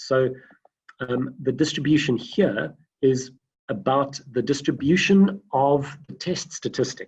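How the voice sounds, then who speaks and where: At a fairly slow pace, a man with a fairly high pitch talks in a somewhat breathy voice with ordinary pitch variation. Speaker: data science lecturer. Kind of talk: online lecture. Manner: halting, many fillers.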